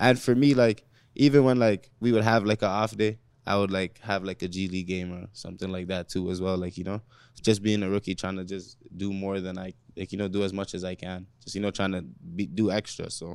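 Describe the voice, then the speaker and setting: At a fairly quick pace, a man speaks in a plain, everyday voice with fairly even intonation and big swings in loudness, in a very clean recording with a silent background. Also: fairly low pitch for a man. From Toronto, Canada. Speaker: basketball player. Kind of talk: casual chat.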